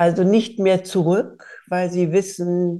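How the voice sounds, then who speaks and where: At a very slow pace, a woman speaks in a dark, mellow tone. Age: 30 years older than during the Bosnian war, so 60s or older. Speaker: podcast host, politician. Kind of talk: interview conversation.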